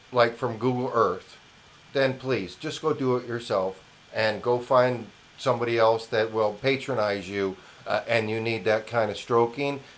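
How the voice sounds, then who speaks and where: Speaking at a moderate pace, a man with an American accent has a medium pitch. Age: 60s. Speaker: independent news commentator. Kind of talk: opinion monologue. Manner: animated.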